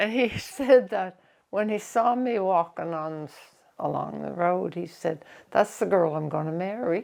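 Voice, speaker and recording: A woman in a Nova Scotian accent, medium in pitch, fairly slow, with lively intonation and big swings in loudness. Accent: rural Nova Scotia (Maritime Canadian). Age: 90s. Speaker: elderly interviewee sharing life story. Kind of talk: life-story interview.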